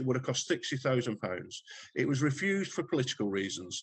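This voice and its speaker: A man speaks somewhat breathy at a medium pitch with very wide pitch swings. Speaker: retired police detective. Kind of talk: casual interview chat. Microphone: poor sound quality in parts.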